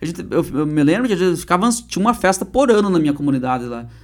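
A speaker talks at a very fast pace, with very wide swings in pitch. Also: man. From Paraná, Brazil (Turvo, interior). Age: 30s. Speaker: comedian and state politician. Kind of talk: casual interview chat.

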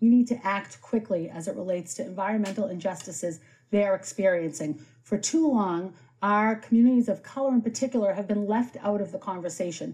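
Somewhat breathy and dark, mellow in tone, a woman with an American accent talks at a medium pitch and a fairly quick pace. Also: ordinary pitch variation. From Boston. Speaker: city councillor. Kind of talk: political debate.

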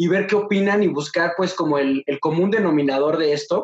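A man talks in a high pitch with a Mexican accent. His pitch variation is ordinary. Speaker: podcast host. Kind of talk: casual interview. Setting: video call.

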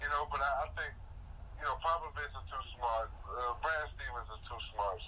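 A man speaks with noticeable background noise. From DMV area, US. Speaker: sports commentator co-host.

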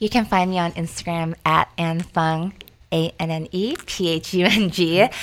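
With an ordinary speaking voice, a woman talks at a fairly low pitch with fairly even intonation. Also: moderate pace. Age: 30s. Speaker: fitness instructor. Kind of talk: casual interview.

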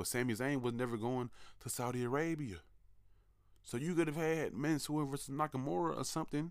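This man has a plain, everyday voice. It is fairly high-pitched and moves at a fairly quick pace. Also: ordinary pitch variation. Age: 20s. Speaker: wrestling podcast host. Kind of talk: solo commentary podcast.

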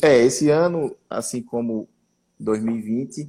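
A man with a dark, mellow tone. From Pernambuco sertão, Brazil. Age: 30s. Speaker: mayor. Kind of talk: live-stream interview.

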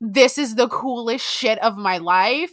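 A woman with an American accent speaks at a fairly slow pace in a fairly high pitch and a bright, sharp tone, on a very clean recording with a silent background. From South Florida. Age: 20s. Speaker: podcast co-host. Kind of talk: casual chat.

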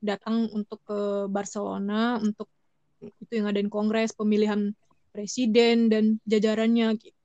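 Speaking fairly slowly with a Sumatran accent, the voice has a dry, close sound with no echo. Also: woman. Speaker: fan club treasurer. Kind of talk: casual interview.

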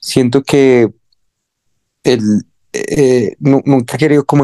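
Dark and mellow in tone, a man speaks at a medium pitch in a dry, close sound with no echo. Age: 20s. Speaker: musician and music producer. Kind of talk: casual interview.

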